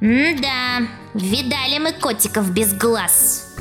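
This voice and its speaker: A put-on character voice at a fairly high pitch hisses at a very slow pace. Clear music plays in the background. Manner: mocking, sarcastic.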